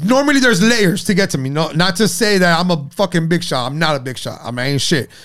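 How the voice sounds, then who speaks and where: A high-pitched man with an American accent and lively intonation, talking at a very fast pace with hardly any pauses. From Miami, Florida. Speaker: podcast host. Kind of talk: casual chat.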